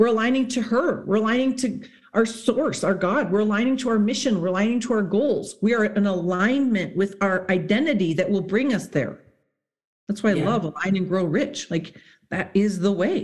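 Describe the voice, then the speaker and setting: At a moderate pace and medium pitch, a woman speaks somewhat breathily with ordinary pitch variation and very even loudness. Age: 40s. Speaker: psychologist and high performance mentor. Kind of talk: casual chat.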